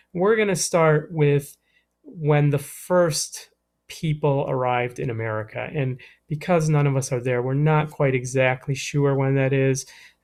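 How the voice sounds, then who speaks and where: A man with an ordinary speaking voice talks at a fairly slow pace, his pitch fairly high with ordinary variation. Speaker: middle school history teacher. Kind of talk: recorded lesson. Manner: casual, with fillers.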